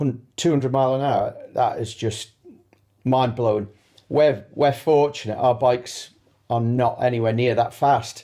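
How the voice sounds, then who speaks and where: The voice has a dark, mellow tone and a Manx accent. Intonation stays fairly even at a fairly slow pace. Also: man, medium pitch for a man. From Isle of Man. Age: 50s. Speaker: sidecar racer. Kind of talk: interview.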